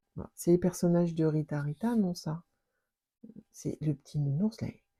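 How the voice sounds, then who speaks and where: A woman's fairly low, dark, mellow and somewhat breathy voice at a fairly slow pace, with a dry, close sound and no echo. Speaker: scrapbooking youtuber. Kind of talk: unboxing chat. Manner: animated, exclamatory.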